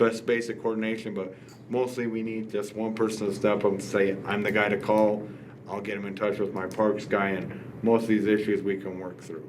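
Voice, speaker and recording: Audible room echo surrounds the voice. It moves at a fairly quick pace with monotone, flat intonation. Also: man, fairly low pitch for a man. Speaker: city official. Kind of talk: public meeting discussion. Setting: city commission meeting.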